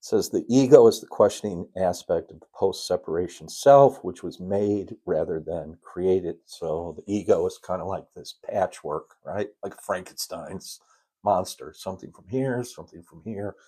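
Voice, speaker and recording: On a very clean recording with a silent background, a man with an American accent speaks at a moderate pace, his loudness swinging a lot. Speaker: spiritual teacher. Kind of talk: spiritual lesson livestream. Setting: live stream. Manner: halting.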